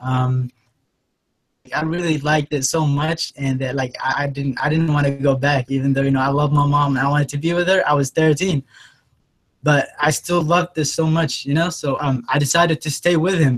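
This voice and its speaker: A man with a fairly high pitch and a somewhat breathy voice talks at a fairly quick pace, his intonation fairly even, in a dry, close sound with no echo. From Yemen. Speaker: online entrepreneur. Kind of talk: interview. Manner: hesitant, many fillers.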